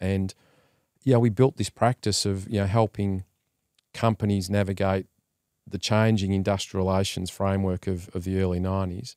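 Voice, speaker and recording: Monotone and flat, the speech moves at a moderate pace in a very clean recording with a silent background and a dry, close sound with no echo. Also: man, fairly low pitch for a man. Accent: Australian. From Australia, Melbourne. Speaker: entrepreneur and investor. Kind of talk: interview.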